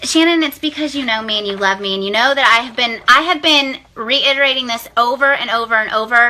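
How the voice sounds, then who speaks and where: A loud woman with a high pitch and ordinary pitch variation, talking at a very fast pace over noticeable background noise. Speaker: direct sales team leader. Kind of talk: live video pep talk. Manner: animated.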